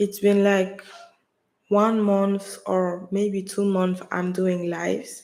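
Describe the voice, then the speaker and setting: A woman talks at a very slow pace. Her intonation is flat and monotone. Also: medium pitch for a woman. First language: French. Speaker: livestreamer, wellness content creator. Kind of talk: casual livestream talk. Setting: live stream at home. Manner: halting, with pauses and silences. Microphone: USB mic, sound issue if touched.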